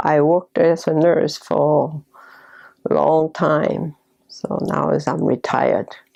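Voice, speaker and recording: A woman with a Korean accent talks at a very slow pace. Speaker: retired nurse, parent. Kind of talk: interview testimony.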